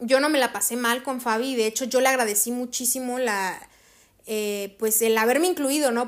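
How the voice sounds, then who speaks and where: Pitch varies in an ordinary way at a moderate pace. It is a plain, everyday voice. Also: woman. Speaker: podcast host, actress and voice actor. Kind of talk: casual solo monologue.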